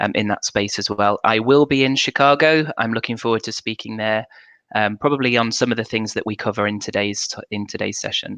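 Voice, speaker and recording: With a British accent, a man speaks fairly quickly at a medium pitch with fairly even intonation. His tone is bright and sharp, and the sound is dry and close with no echo. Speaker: corporate communications manager. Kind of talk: panel discussion. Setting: video livestream.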